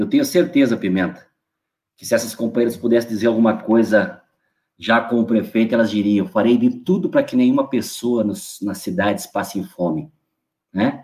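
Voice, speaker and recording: This man speaks at a moderate pace in an ordinary speaking voice, medium in pitch with lively intonation. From northwestern Rio Grande do Sul. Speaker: state legislator. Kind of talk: political speech. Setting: online livestream.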